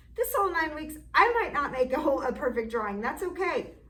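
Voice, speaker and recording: Audible room echo and noticeable background noise surround a woman speaking with lively intonation. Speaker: art teacher. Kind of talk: online class lesson. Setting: classroom.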